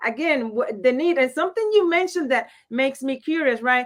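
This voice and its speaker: The speaker has a Puerto Rican accent. The intonation is lively. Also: woman. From Puerto Rico. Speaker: panel guest. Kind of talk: casual panel discussion. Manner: halting, repeats words.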